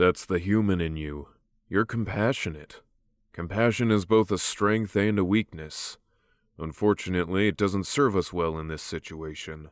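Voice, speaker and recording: Using a put-on character voice, a man speaks with a very deep, low pitch and a calm tone at a moderate pace. The recording is very clean, with a silent background. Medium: read story. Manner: calm, authoritative.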